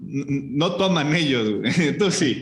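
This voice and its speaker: A man speaks with a Mexican accent and ordinary pitch variation over noticeable background noise. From Mexico. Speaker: motorsport podcast host. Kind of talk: casual chat.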